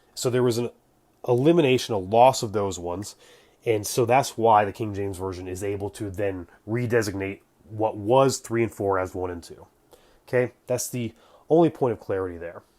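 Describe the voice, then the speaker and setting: Mumbling from a man with a dark, mellow tone, fairly low in pitch, at a moderate pace with ordinary pitch variation and big swings in loudness, on a very clean recording with a silent background. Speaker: religious history commentator. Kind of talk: casual explainer talk to camera.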